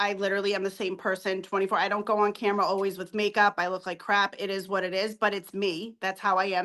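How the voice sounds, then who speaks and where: A woman at medium pitch with a Boston accent, at a very fast pace. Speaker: hair extension business owner. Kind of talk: interview. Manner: animated.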